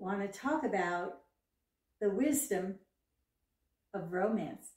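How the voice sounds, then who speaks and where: Somewhat breathy and dark, mellow in tone, a woman at medium pitch speaks at a fairly slow pace with ordinary pitch variation. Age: 70s. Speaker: fashion and lifestyle vlogger. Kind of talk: casual talk to camera.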